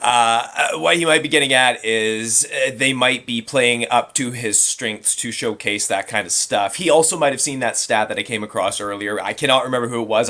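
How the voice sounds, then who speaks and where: A man at a medium pitch talks at a fairly quick pace over noticeable background noise. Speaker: fantasy football analyst. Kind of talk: casual chat.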